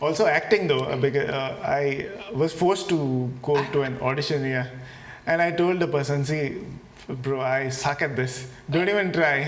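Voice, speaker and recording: Amid noticeable background noise and audible room echo, a man talks at a moderate pace and fairly high pitch with ordinary pitch variation. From Goa, India (Salcete). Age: young. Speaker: singer-songwriter. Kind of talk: casual interview chat.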